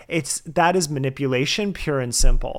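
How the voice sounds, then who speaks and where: With a plain, everyday voice, a man talks at a fairly quick pace in an American accent, his pitch fairly high. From US, New Jersey. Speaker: podcast host, guest. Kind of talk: interview conversation. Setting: remote call.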